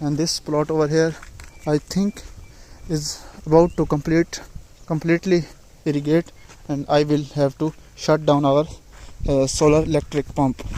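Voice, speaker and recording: A man speaks at a moderate pace in a monotone, flat delivery with a non-native accent, leaving long, frequent pauses. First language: not English. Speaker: farmer vlogger. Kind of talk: casual vlog narration. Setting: outdoors in fields. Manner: halting.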